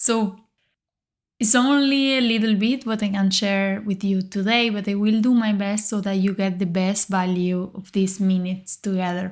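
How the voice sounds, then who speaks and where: A woman with a Spanish accent and a calm tone speaks at a medium pitch and moderate pace, with fairly even intonation, on a very clean recording with a silent background. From Uruguay. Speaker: leadership coach, podcast host. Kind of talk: podcast monologue, coaching talk.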